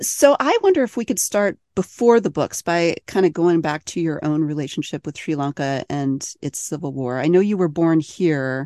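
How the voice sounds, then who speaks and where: An unremarkable speaking voice from a woman, fairly low-pitched, with lively intonation, moderate pace, hardly any pauses, and a dry, close sound with no echo. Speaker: podcast host. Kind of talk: interview.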